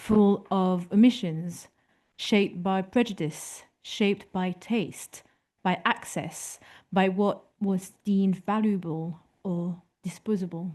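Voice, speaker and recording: A woman with a strong French accent speaks at a very slow pace, her tone dark and mellow. Her pitch is medium, her intonation fairly even, and the background is quiet. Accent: thick French. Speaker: photography historian speaker. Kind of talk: lecture read from a prepared text.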